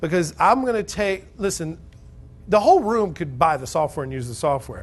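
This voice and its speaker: Loud and animated, a man with a Southern US accent speaks at a moderate pace in a high voice with lively intonation against a quiet background. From Alabama. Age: 30s. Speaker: real estate investing seminar speaker. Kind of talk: sales pitch. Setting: stage with audience.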